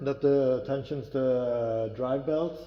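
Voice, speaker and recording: Very slowly, a man talks with a non-native accent against noticeable background noise. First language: not English. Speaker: metalworker. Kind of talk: tutorial. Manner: halting.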